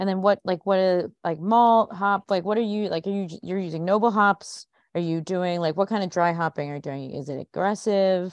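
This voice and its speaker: At a moderate pace and medium pitch, a woman speaks in a normal speaking voice with ordinary pitch variation and hardly any pauses. The sound is dry and close with no echo, over a quiet background. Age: 40s. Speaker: podcast host. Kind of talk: scripted announcements; casual interview.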